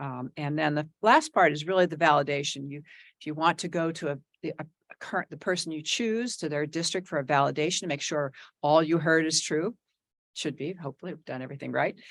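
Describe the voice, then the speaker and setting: Speaking at a fairly quick pace with an American accent, a woman uses a very deep, low voice, ordinary pitch variation and big swings in loudness. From New Jersey. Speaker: executive search consultant. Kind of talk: presentation to school board. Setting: board meeting. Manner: fast.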